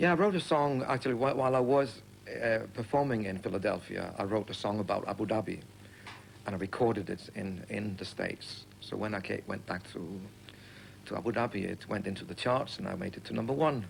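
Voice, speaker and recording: A man with a Danish accent speaks with lively intonation at a fairly quick pace. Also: medium pitch for a man. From Denmark. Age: young. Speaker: singer and entertainer. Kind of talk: TV interview. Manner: halting.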